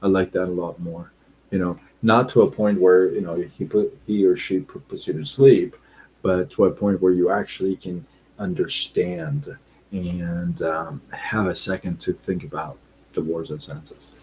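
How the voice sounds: This man's low-pitched voice has a slightly mellow tone with a husky, rough edge and fairly even intonation. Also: fairly slow pace.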